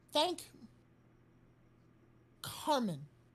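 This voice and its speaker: A put-on character voice with a high pitch. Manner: halting, garbled.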